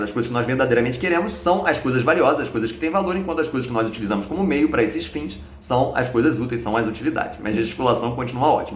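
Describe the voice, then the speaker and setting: A man talks at a very fast pace amid noticeable background noise, with audible room echo. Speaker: philosophy YouTuber. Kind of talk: video lecture.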